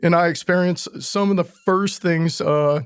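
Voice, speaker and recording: A man's high-pitched voice at a moderate pace with fairly even intonation. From Louisiana. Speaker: Marine Corps veteran. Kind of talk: interview.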